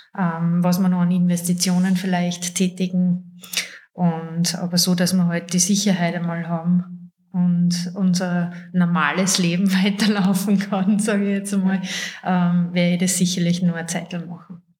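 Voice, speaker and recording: The voice has a Salzburg accent and monotone, flat intonation at a fairly slow pace. Audible room echo hangs around it. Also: woman, fairly low pitch for a woman. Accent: Salzburg Austrian. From Salzburg, Austria. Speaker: ceramicist and office worker. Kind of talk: casual interview.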